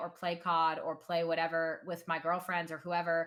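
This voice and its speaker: A woman at medium pitch, speaking at a moderate pace. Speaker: gaming content creator and streamer. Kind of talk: casual chat. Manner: loud.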